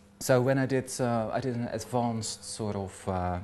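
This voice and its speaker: A man with a slight Dutch accent speaks at a fairly slow pace with ordinary pitch variation. Noticeable background noise sits behind him. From Netherlands. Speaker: hairdresser. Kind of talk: personal talk. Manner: halting, many fillers.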